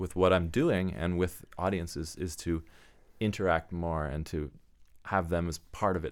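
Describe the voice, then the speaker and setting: A man's very deep, low voice with a Canadian accent at a moderate pace, on a very clean recording with a silent background. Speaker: composer. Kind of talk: casual chat.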